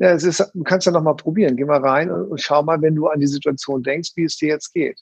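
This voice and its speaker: A man's plain, everyday voice at fairly high pitch, with ordinary pitch variation and a fairly quick pace. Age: 50s. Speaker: NLP trainer. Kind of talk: casual chat; guided breathing exercise.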